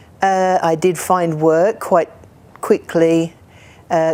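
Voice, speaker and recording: A woman speaks at a very slow pace in a fairly low pitch. Her dark, mellow tone stays monotone and flat. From England, near London. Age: 60s. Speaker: community group member telling her life story. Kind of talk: personal testimony. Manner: hesitant, with fillers and restarts.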